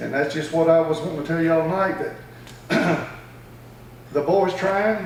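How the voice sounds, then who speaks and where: A man with an American accent talks at a fairly quick pace with fairly even intonation. Noticeable background noise and audible room echo are present. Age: 60s. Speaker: cattle farmer speaking at public comment. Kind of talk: public comment. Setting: county board meeting.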